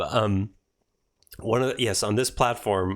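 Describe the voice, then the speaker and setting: A man talks with ordinary pitch variation in a very clean recording with a silent background. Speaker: podcast host and spiritual teacher. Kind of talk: casual conversation.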